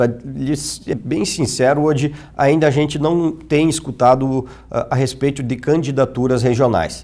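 Speaking at a fairly slow pace, a man has a dark, mellow tone with vocal fry and fairly even intonation. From Erechim, Rio Grande do Sul, Brazil; Rio Grande do Sul, Brazil. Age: 30s. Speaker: city councillor and politician; city councillor, politician. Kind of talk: TV interview. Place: studio. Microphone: lapel.

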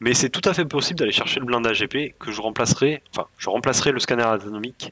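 A man with a bright, sharp tone at a fairly quick pace, against a quiet background. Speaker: gaming YouTuber; strategy game guide creator. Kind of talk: video game tutorial. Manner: casual, with frequent hesitations. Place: home room.

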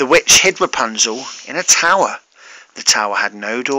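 The reader's lively intonation carries an unforced reading voice.

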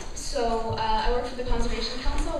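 A woman's voice amid strong room echo and noticeable background noise. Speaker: presenter. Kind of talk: public presentation. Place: hall. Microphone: camera far.

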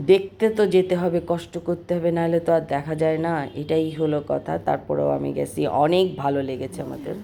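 A woman with a very deep, low pitch and fairly even intonation speaks over noticeable background noise. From Bangladesh, Kushtia. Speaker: vlogger. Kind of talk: travel vlog narration.

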